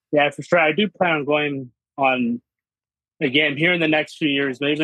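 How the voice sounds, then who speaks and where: Fairly high-pitched man with a plain, everyday voice and an American accent, at a moderate pace with fairly even intonation. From Washington state, US. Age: 20s. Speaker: sports fan. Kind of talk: casual interview.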